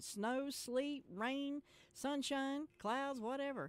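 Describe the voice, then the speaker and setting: A woman speaks with a North Carolina accent. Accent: Southern US (North Carolina). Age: 60s. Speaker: radio host. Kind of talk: casual radio chat.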